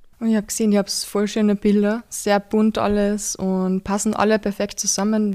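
Very clean recording, silent background, and a woman with a dark, mellow tone at medium pitch and a fairly quick pace. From Austria, rural Carinthia. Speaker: podcast host. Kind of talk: casual interview. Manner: animated.

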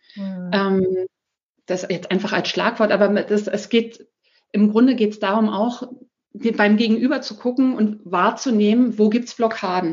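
Speaking at a fairly slow pace, a woman with a fairly high pitch sounds somewhat breathy, and her loudness swings widely. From Germany, Berlin. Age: 40s. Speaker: single mother sharing her story. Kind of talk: casual interview. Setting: evening recording at home.

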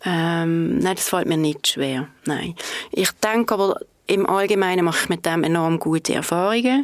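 A woman with a fairly low pitch, a moderate pace and ordinary pitch variation, over noticeable background noise. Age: 50s. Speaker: head of marketing at an energy company. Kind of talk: podcast interview. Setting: studio.

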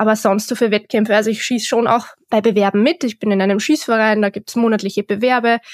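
With a fairly high pitch and monotone, flat intonation, a woman speaks at a fairly quick pace in a very clean recording with a silent background and a dry, close sound with no echo. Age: 20s. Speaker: shooting instructor. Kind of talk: interview.

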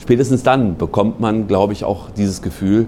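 Noticeable background noise sits under a man talking at a moderate pace in a fairly low pitch. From Berlin, Germany. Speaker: national park ranger and bird expert. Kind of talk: interview.

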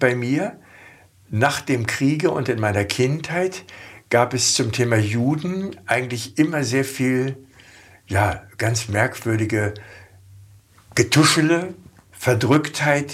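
Somewhat breathy, the voice moves very slowly with lively intonation. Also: man. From Germany, Hanover. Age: 70s. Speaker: former politician. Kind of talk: interview.

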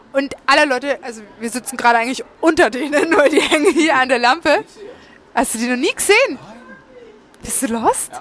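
A woman's high voice with lively intonation, big swings in loudness and a fairly quick pace, broken by long, frequent pauses, over noticeable background noise. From Franconia, Nuremberg. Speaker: podcast host. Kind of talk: sales pitch; casual chat.

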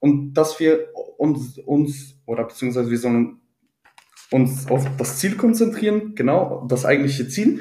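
A man's fairly high voice with a dark, mellow tone, somewhat breathy and at a fairly slow pace. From Ruhr area, Germany. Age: 20s. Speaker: IT employee. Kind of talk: interview. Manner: halting, many fillers.

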